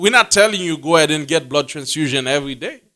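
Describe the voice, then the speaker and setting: The man's tone is bright and sharp. He talks at a very fast pace. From Haiti. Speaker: religious teacher. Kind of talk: bible class teaching.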